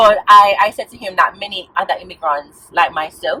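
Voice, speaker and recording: The speaker is a woman with a Jamaican accent. Her pitch varies in an ordinary way. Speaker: vlogger. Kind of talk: casual vlog talk. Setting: in a car. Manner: animated.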